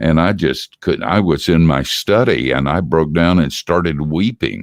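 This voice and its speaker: With vocal fry and a very deep, low pitch, a man speaks at a fairly slow pace. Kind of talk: casual interview. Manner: halting.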